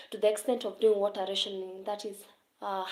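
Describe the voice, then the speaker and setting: Speaking with a Kenyan accent, a woman of medium pitch keeps a monotone, flat intonation. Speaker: teacher discussing literature setbook. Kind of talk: live stream talk to viewers. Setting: live stream.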